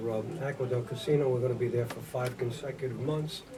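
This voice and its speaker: A man with a medium voice talks at a fairly quick pace with fairly even intonation. Noticeable background noise and audible room echo fill the recording. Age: 70s. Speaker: singer, founder of a vocal group. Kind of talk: radio interview. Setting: radio studio. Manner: hesitant, many fillers.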